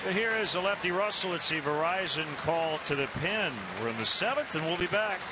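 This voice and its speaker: Over crowd noise, a man talks fairly quickly at a high pitch, his intonation lively and his loudness very even. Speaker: TV baseball play-by-play announcer. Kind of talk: live baseball play-by-play commentary, crisp pitch-by-pitch calls. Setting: broadcast booth at ballpark. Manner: brisk, measured broadcaster cadence.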